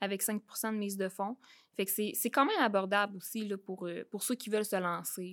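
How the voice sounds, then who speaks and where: A woman with a medium pitch speaks at a moderate pace in a monotone, flat intonation. The recording is very clean, with a silent background. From Quebec, Beauce region. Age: 20s. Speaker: real estate investor. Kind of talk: interview.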